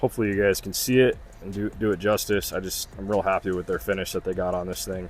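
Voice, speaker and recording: Music plays in the background as a man talks very fast. His voice is fairly low-pitched, with fairly even intonation. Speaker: off-road vehicle restoration shop mechanic. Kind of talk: casual walkthrough tutorial. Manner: casual, conversational.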